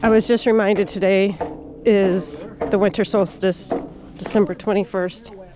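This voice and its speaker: Speaking with very even loudness and fairly even intonation, a woman leaves long, frequent pauses over noticeable background noise. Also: medium pitch for a woman, moderate pace. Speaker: bikepacking vlogger. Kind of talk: casual vlog narration. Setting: outdoors.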